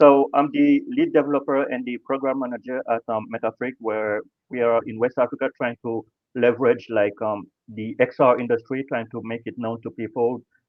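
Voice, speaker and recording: Delivered at a moderate pace with a French accent, the speech has monotone, flat intonation. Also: man, medium pitch for a man. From Senegal, Dakar. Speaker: XR developer, panelist. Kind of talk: panel discussion. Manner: hesitant, many fillers.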